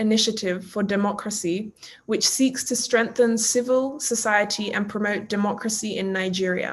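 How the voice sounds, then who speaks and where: A woman talks at a moderate pace and a fairly high pitch. She has an ordinary speaking voice with fairly even intonation. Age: 20s. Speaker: youth representative interviewer. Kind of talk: interview. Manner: formal.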